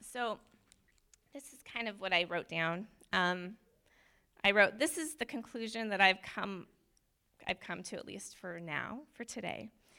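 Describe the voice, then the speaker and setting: A woman at a medium pitch, with a bright, sharp tone and lively intonation, speaks at a fairly slow pace with long, frequent pauses and big swings in loudness, on a very clean recording with a silent background. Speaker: church member sharing testimony. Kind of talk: testimony. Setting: church with congregation. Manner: nervous, rambling.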